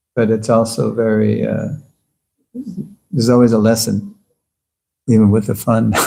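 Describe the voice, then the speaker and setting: A man with a dark, mellow tone, medium pitch and fairly even intonation, at a moderate pace with long, frequent pauses and audible room echo. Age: 70s. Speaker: spiritual teacher. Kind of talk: lecture Q&A.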